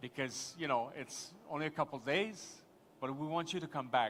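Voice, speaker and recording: A man with a Quebec accent speaks with a fairly high pitch and a bright, sharp tone. His pitch varies in an ordinary way on a very clean recording with a silent background. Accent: French-Canadian accent in English. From Quebec, Montreal. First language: French. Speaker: tourism official, conference panelist. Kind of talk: conference panel discussion. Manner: halting, many false starts.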